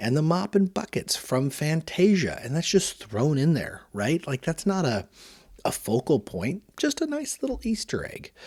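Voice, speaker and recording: Over a very clean recording with a silent background, a man speaks in an animated tone at a moderate pace, his pitch swinging very widely. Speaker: toy reviewer podcast host. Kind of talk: solo review podcast.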